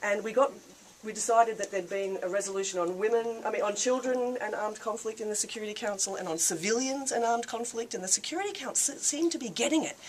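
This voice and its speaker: Talking at a very fast pace, a woman has an Australian accent and a fairly high pitch with ordinary pitch variation. Background noise is noticeable. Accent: thick Australian. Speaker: peace activist. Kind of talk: speech to a reception audience. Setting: reception with live audience. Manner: casual, with filler words.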